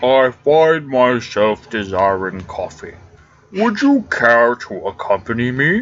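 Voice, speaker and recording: A man puts on a character voice at a medium pitch. His intonation is lively and his pace fairly slow. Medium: game stream. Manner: formal, measured.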